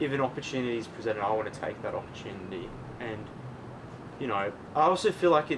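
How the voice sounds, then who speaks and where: With an Australian accent, a man talks very fast at a medium pitch, his intonation lively and broken by long, frequent pauses, over noticeable background noise. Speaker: podcast guest. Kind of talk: casual chat.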